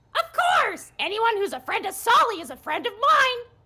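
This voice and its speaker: A put-on character voice, squeaky and extremely high-pitched, at a moderate pace. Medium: actual play. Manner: bubbly, enthusiastic.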